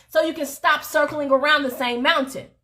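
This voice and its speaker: An extremely high-pitched woman's voice, raised and projected, bright and sharp, animated in tone and at a fairly quick pace. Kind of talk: motivational faith talk. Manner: animated, loud.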